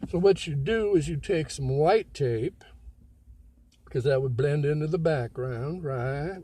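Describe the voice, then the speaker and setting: Somewhat breathy, a man speaks with a dark, mellow tone, a fairly high pitch and ordinary pitch variation. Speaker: self-help video maker. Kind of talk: casual monologue.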